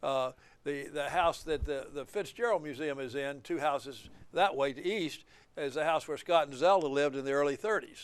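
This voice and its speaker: Against a quiet background, a man talks at a moderate pace with an Alabama accent. His voice sits at a fairly high pitch. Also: ordinary pitch variation. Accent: Southern US (Alabama). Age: 70s. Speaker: attorney and author. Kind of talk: interview. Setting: filmed at a museum. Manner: halting, with fillers.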